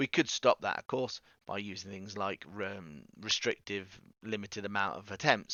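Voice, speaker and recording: A man speaks with an English accent. His voice has a fairly low pitch. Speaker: teacher. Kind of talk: recorded video lesson. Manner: fast; casual, conversational.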